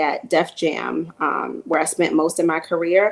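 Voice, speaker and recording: Her intonation is monotone and flat, with a New York accent. The woman speaks at a fairly slow pace. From Queens, New York. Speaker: music marketing executive. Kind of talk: panel discussion. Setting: virtual panel. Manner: hesitant, many fillers.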